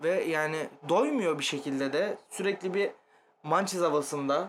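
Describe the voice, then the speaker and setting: This man talks at a fairly slow pace with a fairly high pitch and ordinary pitch variation. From Turkey, İzmit. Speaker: podcast co-host. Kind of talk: casual chat. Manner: animated, laughing.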